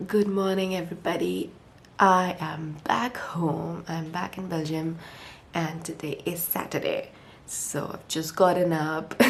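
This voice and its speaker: With audible room echo around her, a woman talks at a fairly slow pace in a fairly low pitch and fairly even intonation. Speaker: lifestyle vlogger. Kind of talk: casual vlog talk.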